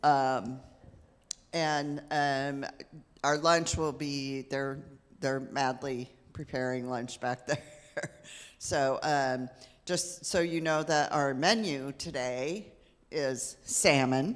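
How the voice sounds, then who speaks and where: Very slow delivery broken by long, frequent pauses. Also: woman, very deep, low pitch for a woman, ordinary pitch variation. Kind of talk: announcements. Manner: loud.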